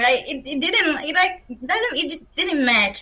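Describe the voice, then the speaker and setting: The voice is raised and projected, bright and sharp in tone, in a Brazilian Portuguese accent. It moves at a fairly slow pace with lively intonation. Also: woman. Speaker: roundtable participant, fan fiction reader. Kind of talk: academic roundtable discussion. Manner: halting, searching for words.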